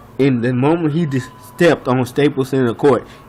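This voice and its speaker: Speaking at a moderate speed, a man's fairly high voice is heard over noticeable background noise. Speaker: sports fan vlogger. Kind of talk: rant. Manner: soft-spoken; animated.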